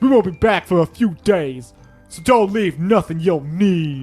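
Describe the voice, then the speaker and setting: A man's high, gruff, put-on character voice with lively intonation and big swings in loudness, faint music in the background. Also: moderate pace. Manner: brusque, gruff.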